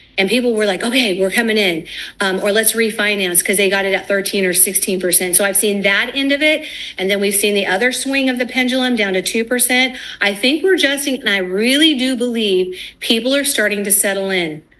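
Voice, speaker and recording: Speaking fairly quickly, a woman keeps a medium pitch with ordinary variation and very even loudness. Noticeable background noise runs underneath. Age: 60s. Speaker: financial firm founder and former mortgage lender. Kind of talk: TV news interview. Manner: casual, with fillers.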